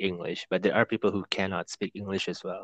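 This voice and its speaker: Against a quiet background, a man with an Indonesian accent speaks at a fairly low pitch in a dry, close sound with no echo. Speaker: podcast host. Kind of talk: casual chat.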